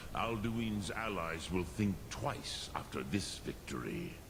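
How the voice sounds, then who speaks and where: Someone talks at a fairly slow pace in a put-on character voice. Loud background noise runs underneath. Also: man, fairly low pitch for a man. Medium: video game. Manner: slow, solemn, measured.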